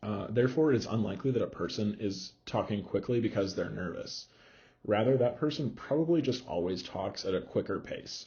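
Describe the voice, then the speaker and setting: Somewhat breathy speech with ordinary pitch variation carries an audible room echo. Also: man. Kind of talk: lecture. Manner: fast.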